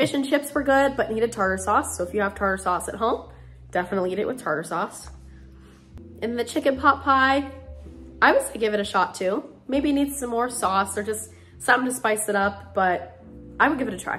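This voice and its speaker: Faint music plays in the background as a woman talks at a fairly quick pace. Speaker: food reviewer. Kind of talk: casual vlog chat. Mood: relaxed, friendly. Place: kitchen. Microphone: phone near.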